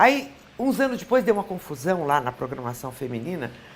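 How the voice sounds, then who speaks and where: This voice is a woman's. It sits at a medium pitch. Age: 60s. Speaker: former TV presenter and journalist. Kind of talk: interview.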